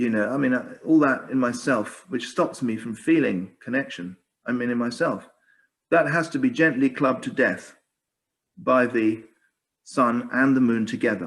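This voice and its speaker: A man is talking here. His pitch is medium and varies in an ordinary way. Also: moderate pace. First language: Spanish. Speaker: author and speaker on Gaia. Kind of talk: Q&A discussion after talk. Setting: video call. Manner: halting, many restarts.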